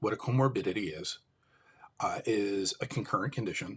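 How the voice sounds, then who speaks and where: A man with an American accent, medium in pitch, somewhat breathy, at a moderate pace with ordinary pitch variation. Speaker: livestream host, mental health advocate. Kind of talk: live stream monologue. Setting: live stream.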